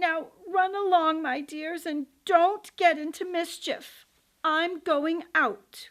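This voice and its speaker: The speaker uses a put-on character voice. The delivery is at a very slow pace. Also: woman, extremely high pitch for a woman. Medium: read story.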